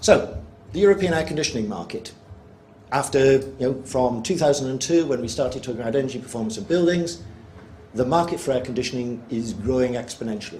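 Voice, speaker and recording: Against audible room echo, a man talks at a very fast pace. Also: medium pitch for a man, lively intonation. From UK. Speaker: energy researcher presenting at workshop. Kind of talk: presentation to workshop audience. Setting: workshop room with live audience.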